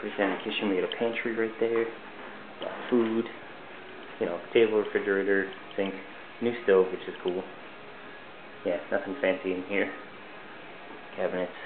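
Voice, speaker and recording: Over noticeable background noise, a man speaks at a moderate pace with a fairly low pitch and fairly even intonation. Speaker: entry-level web designer. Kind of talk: casual video tour narration. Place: home room. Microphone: phone near.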